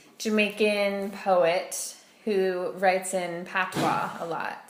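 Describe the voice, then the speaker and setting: Against noticeable background noise, a woman with an American accent speaks in a monotone, flat intonation. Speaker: Peace Corps volunteer. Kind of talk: casual interview talk.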